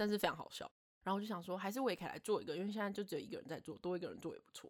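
A woman speaks with a Taiwanese accent at a medium pitch. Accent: Taiwanese Mandarin. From Taiwan, Taipei. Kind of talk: casual chat.

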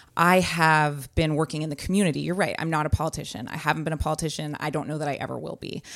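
A woman with an American accent talks at a very fast pace in a very deep, low voice with vocal fry and fairly even intonation. The recording is very clean, with a silent background. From San Francisco Bay Area, California. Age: 30s. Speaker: political candidate. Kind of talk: interview. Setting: press room.

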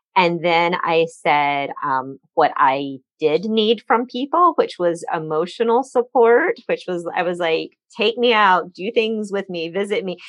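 Against a quiet background, a woman with a plain, everyday voice talks at a fairly slow pace in a medium pitch, with hardly any pauses. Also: lively intonation. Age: 40s. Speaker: cancer survivor, small business owner. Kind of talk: interview testimony.

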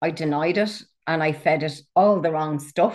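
A woman speaks with an Irish accent at a very deep, low pitch. Her pace is fairly slow and her intonation fairly even. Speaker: author, coach and walking guide. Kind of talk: casual interview chat.

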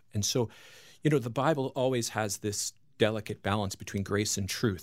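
Using a normal speaking voice with an American accent, a man talks at a moderate pace and fairly low pitch with fairly even intonation on a very clean recording with a silent background. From Long Island, New York. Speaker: pastor and author. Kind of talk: radio interview.

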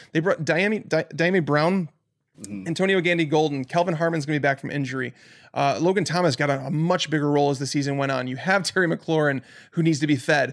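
A man with an American accent talks at a very fast pace in a fairly high pitch with ordinary pitch variation, on a very clean recording with a silent background. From Chicago, US Midwest. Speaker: fantasy football analyst. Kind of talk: casual chat.

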